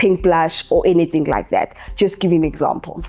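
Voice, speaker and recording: At a moderate pace, a woman speaks in a fairly low voice over noticeable background noise. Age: 30s. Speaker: makeup artist and beauty educator. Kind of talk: casual talk to camera. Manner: conversational, with many fillers.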